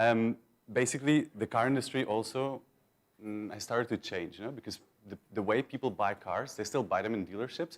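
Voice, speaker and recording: A man talks at a fairly quick pace in a Belgian accent. His pitch varies in an ordinary way on a very clean recording with a silent background. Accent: Belgian accent, noticeable. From Belgium. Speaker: conference speaker, search marketing manager. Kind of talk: conference talk. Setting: stage with audience. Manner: casual, with many fillers and repetitions.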